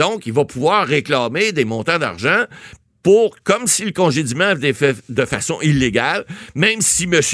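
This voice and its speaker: Here a man speaks with a fairly high pitch and very wide pitch swings. His pace is moderate. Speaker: lawyer, legal commentator. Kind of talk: casual radio interview. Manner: halting, with many repeated words.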